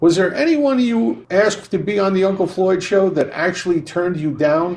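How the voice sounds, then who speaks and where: A man's high-pitched voice with lively intonation, at a moderate pace, over a quiet background. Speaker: podcast co-host and entertainer. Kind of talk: podcast host reading listener questions.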